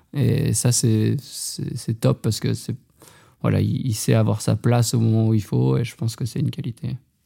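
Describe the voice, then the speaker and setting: Long, frequent pauses breaking up a man's moderately paced speech. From Haute-Savoie, France. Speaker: professional trail runner. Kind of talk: interview. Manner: casual, with filler hesitations.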